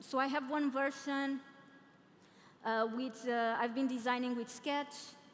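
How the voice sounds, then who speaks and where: A woman with a Portuguese accent speaks in a high pitch with fairly even intonation. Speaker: product designer and conference speaker. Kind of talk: conference talk. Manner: halting.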